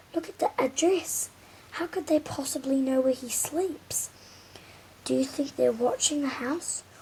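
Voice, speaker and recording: Putting on a shaky character voice, a woman speaks at a high pitch and a moderate pace. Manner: quavering, anxious.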